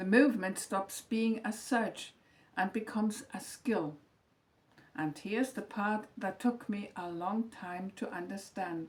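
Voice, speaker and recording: A woman's calm, somewhat breathy voice at a medium pitch, with ordinary pitch variation and a fairly slow pace. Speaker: retired teacher, lifestyle vlogger. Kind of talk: scripted reflective monologue. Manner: calm, measured reading from script.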